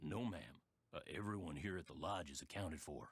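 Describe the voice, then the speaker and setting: A man's put-on character voice, very deep and raspy, at a fairly quick pace with lively intonation. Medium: video game. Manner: plainspoken, folksy, polite.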